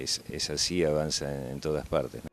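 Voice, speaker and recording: At a fairly slow pace, a man speaks with a very deep, low pitch. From Argentina, Ciudad Jardín (Buenos Aires area). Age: 60s. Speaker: longtime local resident. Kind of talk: interview.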